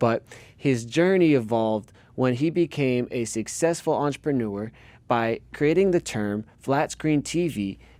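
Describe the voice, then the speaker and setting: His tone is dark and mellow, with lively intonation. The man speaks at a fairly slow pace. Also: medium pitch for a man. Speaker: podcast host. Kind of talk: podcast intro.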